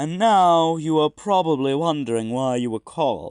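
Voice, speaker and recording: A man puts on a character voice at a fairly high pitch, speaking at a moderate pace. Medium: read story. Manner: plain, instructive.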